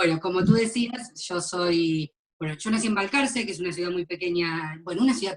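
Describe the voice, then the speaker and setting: A woman speaks at a fairly quick pace with an Argentine accent and ordinary pitch variation. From Argentina, Mar del Plata. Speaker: graphologist. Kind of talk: interview.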